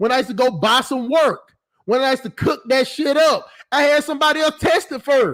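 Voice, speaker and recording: A loud, animated man with an extremely high pitch and an American accent. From US South. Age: 20s. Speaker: YouTube commentator. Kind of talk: livestream commentary reading chat comments.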